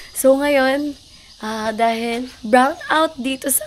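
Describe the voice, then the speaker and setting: A woman's very slow speech with noticeable background noise. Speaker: vlogger. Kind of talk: casual vlog talk.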